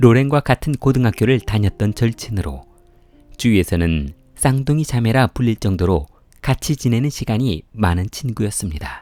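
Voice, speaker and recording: With music in the background, a man speaks at a moderate pace and medium pitch with lively intonation, in a dry, close sound with no echo. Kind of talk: true crime story narration.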